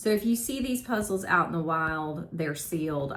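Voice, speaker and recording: Someone with a Southern US accent speaks at a moderate pace, with audible room echo and noticeable background noise. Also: woman. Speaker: part-time reseller, vlogger. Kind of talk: casual vlog talk, sales recap. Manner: casual, with filler 'um'.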